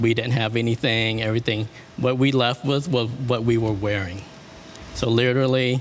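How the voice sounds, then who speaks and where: Over noticeable background noise, a man talks at a moderate pace and medium pitch, with fairly even intonation and very even loudness. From Vietnam, then US from age eight. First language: French. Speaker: wedding and event planner. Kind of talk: interview.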